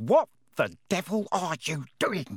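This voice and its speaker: In a put-on character voice, a man growls at a high pitch with very wide pitch swings, the sound dry and close with no echo. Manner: through gritted teeth, furious.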